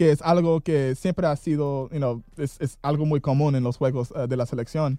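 A man with an English accent speaks at a fairly slow pace, his dark, mellow tone caught in a dry, close sound with no echo. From southern California near Tijuana, born Detroit. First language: English (speaking Spanish). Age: 20s. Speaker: football fan. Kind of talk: casual chat. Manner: halting, many fillers.

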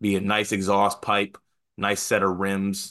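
Against a quiet background, a man with a fairly low pitch and a normal speaking voice talks at a fairly slow pace. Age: 30s. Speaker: college basketball podcast co-host. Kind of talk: casual chat. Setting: video call.

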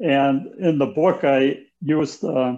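With an American accent, a man speaks in an unremarkable speaking voice, his fairly high pitch showing ordinary variation. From rural Wisconsin, US Midwest. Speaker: author and former real estate broker. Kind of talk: interview.

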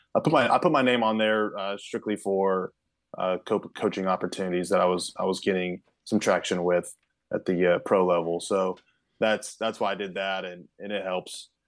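A man with an American accent speaks at a moderate pace in a fairly low pitch, using fairly even intonation and an ordinary speaking voice. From Kansas, US Midwest. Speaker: pitching coach. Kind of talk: podcast interview.

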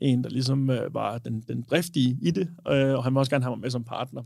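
A man speaks in a medium pitch, captured in a very clean recording with a silent background. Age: 20s. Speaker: bartender and cocktail bar co-owner. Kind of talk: casual chat.

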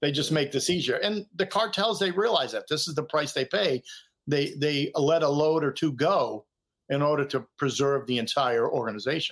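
An ordinary speaking voice with an American accent, a moderate pace and ordinary pitch variation, on a very clean recording with a silent background. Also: man, fairly high pitch for a man. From Boston. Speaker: retired DEA agent. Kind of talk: interview storytelling.

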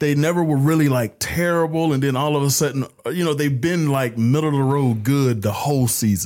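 A man with a normal speaking voice talks at a fairly quick pace with hardly any pauses, ordinary pitch variation and very even loudness. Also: fairly high pitch for a man. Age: 30s. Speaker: sports podcast host. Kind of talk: casual chat.

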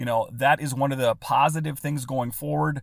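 On a very clean recording with a silent background, a man's pitch varies in an ordinary way. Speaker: podcast host. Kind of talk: podcast episode with ad reads and baseball commentary. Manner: conversational, slightly halting with fillers.

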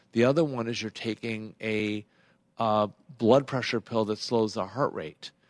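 An unremarkable speaking voice with an American accent moves at a fairly slow pace with fairly even intonation. The sound is dry and close with no echo, over a quiet background. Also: man, medium pitch for a man. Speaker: internal medicine physician. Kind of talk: radio call-in Q&A. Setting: radio studio.

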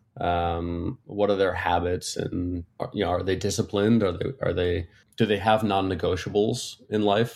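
A plain, everyday voice moves at a moderate pace with hardly any pauses and fairly even intonation. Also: man, fairly low pitch for a man. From Connecticut, US. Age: 30s. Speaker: business consultant. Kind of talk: casual chat.

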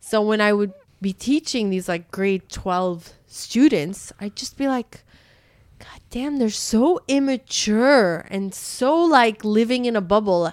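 Very slowly, a woman with a Canadian accent speaks in a fairly high pitch with lively intonation and big swings in loudness. The recording is very clean, with a silent background. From Canada. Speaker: podcast host, former high school teacher. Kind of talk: casual interview chat.

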